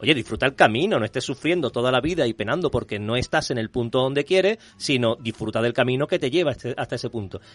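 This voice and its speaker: Speaking at a very fast pace, a man uses lively intonation. The sound is dry and close, with no echo. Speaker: screenwriter and comics columnist. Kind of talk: casual panel chat.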